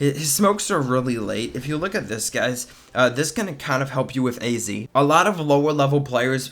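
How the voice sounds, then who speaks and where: A plain, everyday voice from a man, moderately paced, its pitch variation ordinary. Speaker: gaming video commentator. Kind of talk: gameplay commentary. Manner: casual, many filler words.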